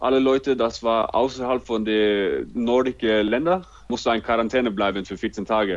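A man at a moderate pace with a Norwegian accent. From Norway, Oslo. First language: Norwegian (speaking German). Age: 20s. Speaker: handball player. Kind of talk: interview. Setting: video call.

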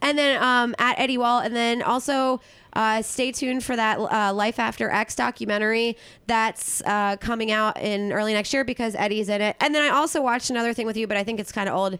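Bright and sharp in tone, a woman with a fairly high pitch talks in an animated way at a fairly quick pace. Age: 30s. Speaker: podcast host, comedian. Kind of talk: casual interview chat.

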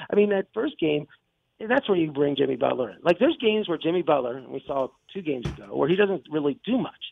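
Very wide pitch swings mark this man's voice as he goes at a very fast pace. Behind him there is music in the background. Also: fairly high pitch for a man. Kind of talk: sports talk radio analysis, breaking down games and playoff series. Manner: animated, fast, rambling, enthusiastic, often restarting sentences.

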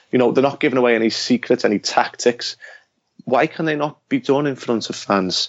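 A man with a Liverpool accent at medium pitch, fairly quick in pace, with ordinary pitch variation. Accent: Liverpool Scouse. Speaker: author. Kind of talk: casual interview chat.

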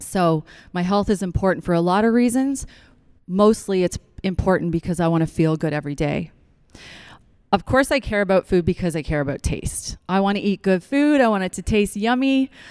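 With an unremarkable speaking voice, a woman at medium pitch speaks with lively intonation in a dry, close sound with no echo. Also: fairly quick pace. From Newfoundland, Canada. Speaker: chiropractor and acupuncturist, guest speaker. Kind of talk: church talk to a congregation.

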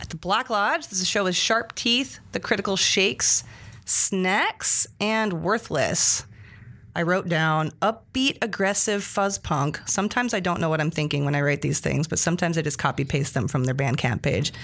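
Speaking at a moderate pace, a woman with a fairly low pitch uses lively intonation in an ordinary speaking voice. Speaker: podcast host. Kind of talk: casual chat. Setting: studio.

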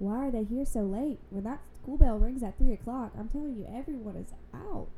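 A woman's somewhat breathy voice with an American accent, a dark, mellow tone and ordinary pitch variation. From Louisiana, US South. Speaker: podcast guest. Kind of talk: casual chat.

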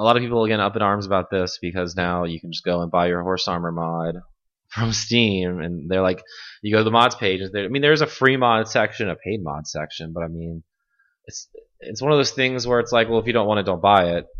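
Fairly low in pitch with ordinary pitch variation, this man has a normal speaking voice. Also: fairly quick pace, quiet background. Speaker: podcast host. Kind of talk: casual chat.

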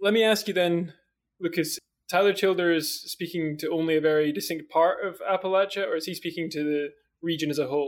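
With a Scottish accent, the voice moves at a fairly quick pace with ordinary pitch variation. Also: man, high pitch for a man. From Scotland. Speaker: podcast host. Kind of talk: interview.

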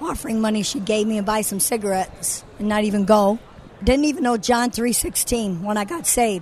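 With ordinary pitch variation and a moderate pace, a woman talks at a fairly high pitch over noticeable background noise. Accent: American. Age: 60s. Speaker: ministry founder and former stripper. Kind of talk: testimony. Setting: convention interview.

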